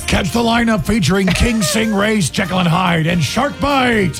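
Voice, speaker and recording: Over loud background music, a man uses a put-on character voice pitched high, keeping a moderate pace. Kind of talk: event promo announcer. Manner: loud, hyped, booming.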